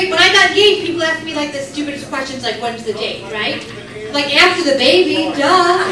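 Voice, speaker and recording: With noticeable background noise behind her, a woman projects a raised voice at a high pitch, with lively intonation and a fairly quick pace. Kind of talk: stand-up comedy set to a live club audience. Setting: comedy club with audience laughter. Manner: fast, sarcastic, crowd-interactive.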